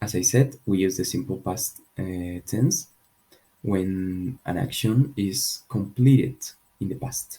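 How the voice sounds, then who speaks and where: A man speaks very slowly and quietly at a fairly low pitch, somewhat breathy. His tone is dark and mellow, with lively intonation. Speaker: English teacher. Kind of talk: tutorial.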